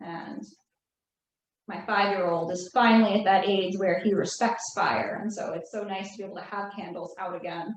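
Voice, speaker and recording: In a New Jersey accent, the speaker talks at a moderate pace with monotone, flat intonation. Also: woman. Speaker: craft instructor. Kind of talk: tutorial.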